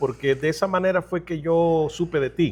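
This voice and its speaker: A man's high-pitched voice at a fairly slow pace, with ordinary pitch variation, in a very clean recording with a silent background. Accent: Salvadoran. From El Salvador. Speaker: ministry interviewer. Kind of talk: interview.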